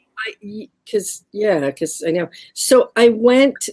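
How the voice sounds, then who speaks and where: Here a woman speaks with an American accent. Her intonation is lively. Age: 60s. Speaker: artist and craft maker. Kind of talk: casual chat. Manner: animated.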